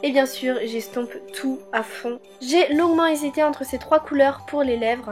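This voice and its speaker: Over music in the background, a woman talks at a moderate pace in a high voice with ordinary pitch variation. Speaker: beauty vlogger. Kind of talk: casual voice-over for a makeup tutorial.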